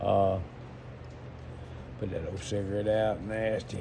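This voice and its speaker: Slightly breathy, a man speaks at a fairly slow pace in a fairly low voice. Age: 60s. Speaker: entrepreneur. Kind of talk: casual monologue. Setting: smoking while talking. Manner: halting.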